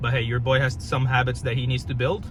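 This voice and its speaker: Speaking at a medium pitch, a man's voice is heard with audible room echo. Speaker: fitness coach. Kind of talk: casual vlog talk. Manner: casual, slangy; halting, with restarts.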